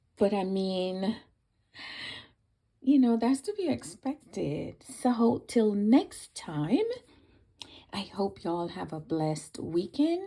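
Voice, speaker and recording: The voice has a dark, mellow tone and very wide pitch swings, moving at a very slow pace. Long, frequent pauses fill a very clean recording with a silent background. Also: woman, medium pitch for a woman. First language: Spanish. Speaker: crafter and video creator. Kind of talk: unboxing video. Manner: hesitant, many fillers.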